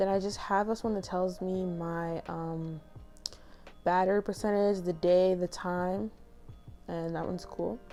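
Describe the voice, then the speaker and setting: Over music in the background, a woman speaks at a fairly slow pace and medium pitch with fairly even intonation and long, frequent pauses. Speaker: YouTuber. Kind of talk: casual tech walkthrough vlog.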